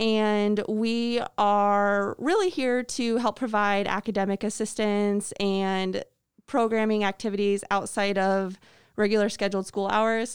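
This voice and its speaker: Speaking with an American accent, a woman uses a medium pitch and a monotone, flat intonation at a fairly slow pace, her loudness very even in a very clean recording with a silent background. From Illinois, US Midwest. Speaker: after-school program coordinator. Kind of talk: interview.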